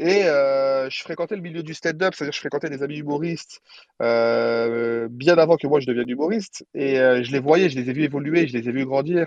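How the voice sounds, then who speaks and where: Speech moves fairly quickly. The rise and fall of pitch is ordinary. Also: man, fairly high pitch for a man. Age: 30s. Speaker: comedian. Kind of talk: casual chat. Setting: phone call from a car. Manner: animated.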